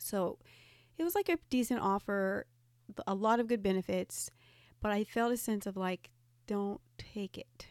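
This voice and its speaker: Recorded very cleanly against a silent background, with a dry, close sound and no echo, a woman speaks at a medium pitch with ordinary pitch variation, a fairly slow pace and long, frequent pauses. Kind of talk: casual chat.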